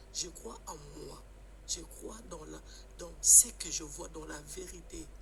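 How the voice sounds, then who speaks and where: Very slowly, a man speaks with big swings in loudness, and audible room echo surrounds his voice. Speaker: caller. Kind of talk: live stream call-in discussion. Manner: halting.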